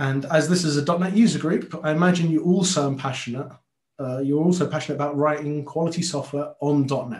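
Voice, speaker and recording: A man with a London accent talks at a fairly quick pace in a fairly high, somewhat breathy voice. His pitch varies in an ordinary way, and audible room echo surrounds it. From London, Tottenham. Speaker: software consultant and conference speaker. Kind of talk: technical talk to a user group. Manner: many filler words and repetitions.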